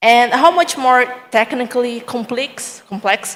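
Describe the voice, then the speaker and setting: At a fairly slow pace, a woman speaks with a Portuguese accent. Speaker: audience member asking a question. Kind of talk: audience question.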